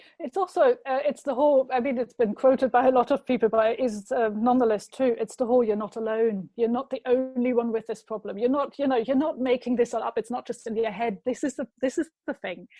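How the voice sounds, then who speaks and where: Speaking very fast with ordinary pitch variation, a woman with a German accent has a high pitch. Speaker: marketing consultant. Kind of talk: casual chat.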